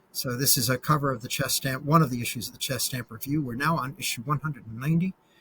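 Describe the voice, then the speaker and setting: A man with a bright, sharp tone and medium pitch talks at a very fast pace, with ordinary pitch variation and hardly any pauses. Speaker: chess grandmaster and stamp collector. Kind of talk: slideshow presentation in an interview.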